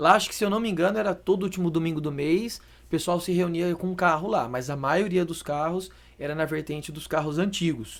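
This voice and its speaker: At a fairly quick pace, a man speaks in a high voice with ordinary pitch variation. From Brazil, Campinas (São Paulo state). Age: 30s. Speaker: car wrap specialist. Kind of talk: podcast interview. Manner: casual.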